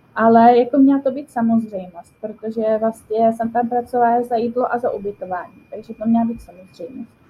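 A woman speaks at a fairly high pitch and a fairly quick pace, with hardly any pauses. Her intonation is fairly even, while her loudness swings widely. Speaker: volunteer. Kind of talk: interview. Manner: hesitant, many fillers.

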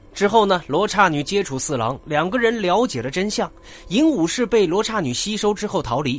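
A man with a high pitch, very wide pitch swings and a moderate pace. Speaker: podcast host narrating comic character stories. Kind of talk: scripted narration.

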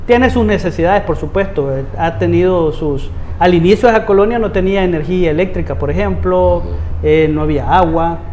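A man with a Salvadoran accent, at a moderate pace with hardly any pauses, over noticeable background noise. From El Salvador, Soyapango. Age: 40s. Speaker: municipal councillor. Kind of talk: interview.

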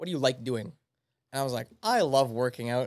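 This man's intonation is lively. The recording is very clean, with a silent background. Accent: Canadian. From Canada, Manitoba. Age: 20s. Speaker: personal trainer. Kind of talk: casual chat.

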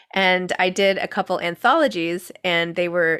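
A woman with a normal speaking voice talks at a fairly low pitch and with fairly even intonation on a very clean recording with a silent background. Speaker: podcast host and author. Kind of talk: casual interview chat. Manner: giggly, laughs often.

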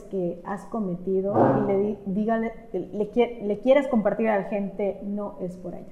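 A fairly slow pace in a Mexican accent. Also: woman. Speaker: podcast host. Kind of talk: interview.

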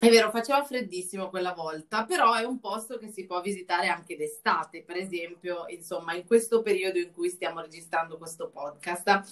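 In an ordinary speaking voice, the speech moves at a fairly quick pace with ordinary pitch variation and big swings in loudness. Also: woman. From Lombardy, northern Italy. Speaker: travel journalist and podcast host. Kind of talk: casual chat.

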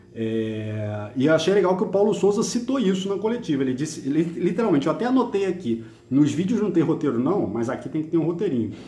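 Pitched high, a man speaks at a fairly quick pace with hardly any pauses and very wide pitch swings, and the room echo is audible. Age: 50s. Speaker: football podcast host. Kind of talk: casual chat. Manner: animated.

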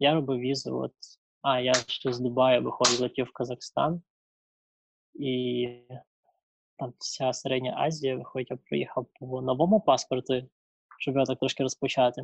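A man speaks at medium pitch and a moderate pace in a monotone, flat intonation. He takes long, frequent pauses, and the sound is dry and close with no echo. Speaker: traveller. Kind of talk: interview.

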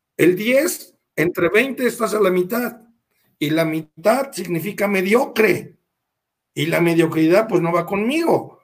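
A man's high-pitched voice with lively intonation. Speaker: taekwondo master. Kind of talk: interview.

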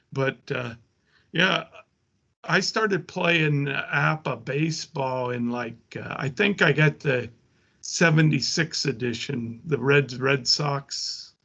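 A man with an American accent, fairly high and bright, sharp in tone, at a very slow pace with ordinary pitch variation. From rural US. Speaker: tabletop sports gamer. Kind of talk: casual chat.

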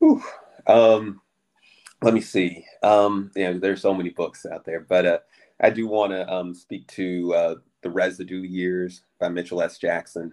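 Against a quiet background, a man talks at a moderate pace in an American accent. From Southern California. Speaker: author and university teacher. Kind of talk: interview. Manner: halting, many fillers.

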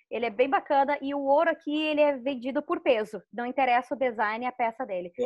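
Delivered fairly quickly, the speech shows ordinary variation in pitch. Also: woman. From Rio Grande do Sul, southern Brazil. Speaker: YouTuber living abroad. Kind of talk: casual interview.

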